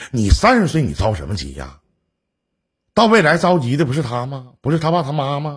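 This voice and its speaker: An animated man's fairly high, somewhat breathy voice at a fairly quick pace, with lively intonation, long, frequent pauses and audible room echo. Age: 40s. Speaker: call-in relationship advice host. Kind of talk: call-in advice chat.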